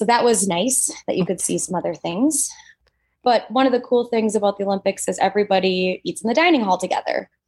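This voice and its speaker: A woman in an Upper Midwest accent talks at a very fast pace, her medium pitch showing ordinary variation. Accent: Upper Midwest American. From Minnesota. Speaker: dentist and Olympic curler. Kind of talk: casual interview.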